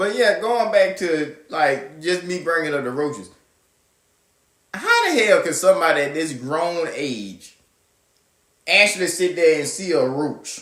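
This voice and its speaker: A man's high-pitched voice in a Southern US accent, with an animated tone, fairly slow pace and long, frequent pauses. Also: ordinary pitch variation. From US South. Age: 20s. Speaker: podcast host. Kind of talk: casual monologue.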